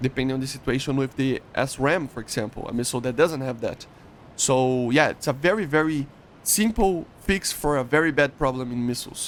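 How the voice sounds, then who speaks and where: With a Portuguese accent, a man speaks at a fairly quick pace. His pitch is fairly high. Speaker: gaming YouTuber. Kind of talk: explainer tutorial. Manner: halting, many fillers and restarts.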